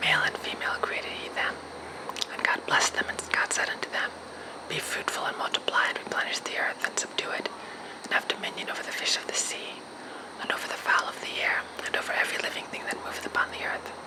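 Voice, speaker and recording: A man whispers at a very fast pace. There is noticeable background noise. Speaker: ASMR creator. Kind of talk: ASMR Bible reading. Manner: whispered.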